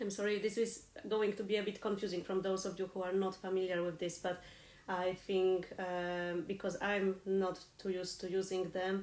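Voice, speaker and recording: A woman with a non-native accent speaks at a medium pitch in a monotone, flat intonation. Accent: noticeable foreign. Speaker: harp teacher. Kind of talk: live online lesson. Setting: live stream. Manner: consciously slowing down.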